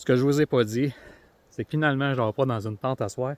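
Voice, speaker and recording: With a Quebec accent, a man speaks at a moderate pace and medium pitch with fairly even intonation, in a dry, close sound with no echo and a very clean recording over a silent background. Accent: Québécois French. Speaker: outdoor vlogger. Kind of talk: casual vlog narration. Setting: outdoors. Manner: hesitant, many fillers.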